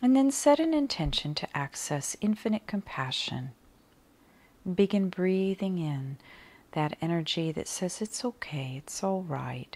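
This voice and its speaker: Very wide pitch swings run through a gentle, soothing tone on a very clean recording with a silent background. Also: woman, medium pitch for a woman. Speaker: meditation guide. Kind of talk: guided meditation, calm soothing instructions with long pauses. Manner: slow, gentle, soft-spoken; soothing, measured pacing.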